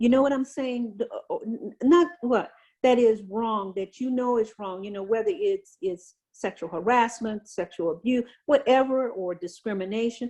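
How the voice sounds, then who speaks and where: A woman with an American accent, a dark, mellow tone, fairly high pitch, lively intonation and a moderate pace. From Louisiana, US South. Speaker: retired navy senior enlisted leader. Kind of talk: interview on leadership. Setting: video call. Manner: animated.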